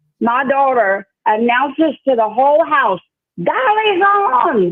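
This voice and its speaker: In a Louisiana accent, the speech unfolds at a very slow pace with very wide pitch swings. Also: woman, high pitch for a woman. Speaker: caller, longtime viewer. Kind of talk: phone-in thanks.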